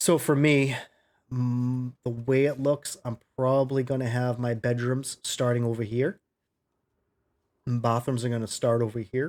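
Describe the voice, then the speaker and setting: A man speaks at a fairly slow pace and medium pitch in a monotone, flat intonation. The recording is very clean, with a silent background. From New England, US. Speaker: gaming YouTuber, military veteran. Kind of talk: gameplay commentary. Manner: casual with many fillers.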